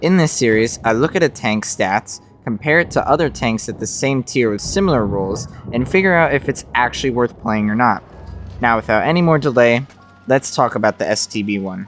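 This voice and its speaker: A man's medium-pitched voice, fairly quick with lively intonation, over background music. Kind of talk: game review narration.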